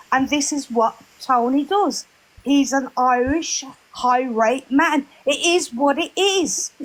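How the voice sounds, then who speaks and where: Loud and high-pitched, a woman speaks very slowly with ordinary pitch variation. Noticeable background noise is present. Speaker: live chat room participant. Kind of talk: heated debate.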